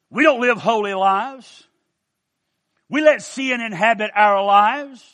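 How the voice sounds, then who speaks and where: A man with an Appalachian accent speaks in a high pitch with a bright, sharp tone and ordinary pitch variation. His pace is fairly slow, with long, frequent pauses, over a quiet background. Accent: Appalachian US Southern. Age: 60s. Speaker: preacher. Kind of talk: sermon.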